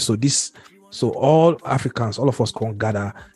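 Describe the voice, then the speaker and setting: Over music in the background, a man speaks at a moderate pace with a medium pitch. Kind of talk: casual chat. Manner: animated, laughs often.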